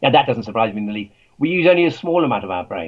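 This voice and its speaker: A man with an English accent. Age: 80s+. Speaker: author and scientist. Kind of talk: interview.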